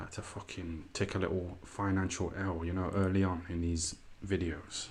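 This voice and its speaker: A somewhat breathy voice in an East Midlands accent at a moderate pace, with audible room echo. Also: man, very deep, low pitch for a man. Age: 30s. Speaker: YouTuber livestreamer. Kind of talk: casual livestream commentary. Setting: live stream. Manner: animated.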